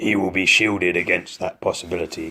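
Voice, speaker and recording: A gruff, raspy put-on character voice at a fairly quick pace. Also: man. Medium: read story. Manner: gruff, commanding.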